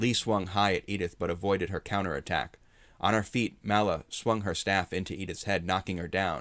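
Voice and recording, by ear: With fairly even intonation, a natural voice reads the text aloud.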